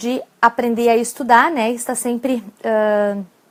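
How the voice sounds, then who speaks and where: A woman's high-pitched voice at a fairly slow pace, in a very clean recording with a silent background. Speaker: psychologist and exam-prep coach. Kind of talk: live-stream talk with tips. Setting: live stream.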